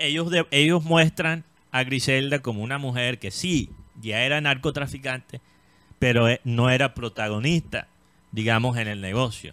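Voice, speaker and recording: A man speaks with a bright, sharp tone. His pace is fairly slow, and his pitch varies in an ordinary way. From Colombia. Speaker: entertainment show host. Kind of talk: casual chat. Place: studio. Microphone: studio mic.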